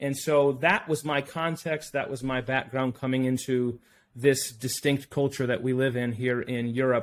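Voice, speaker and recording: A man speaks at a moderate pace in a normal speaking voice, with medium pitch and fairly even intonation. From United States. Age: 30s. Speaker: missionary. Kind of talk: casual interview.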